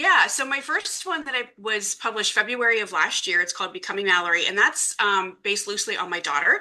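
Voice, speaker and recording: A woman's fairly high, bright, sharp voice with a Midwestern accent, lively intonation, a very fast pace and hardly any pauses. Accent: US Midwest (Ohio). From Ohio, Youngstown area. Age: 40s. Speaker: romance author. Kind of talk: interview.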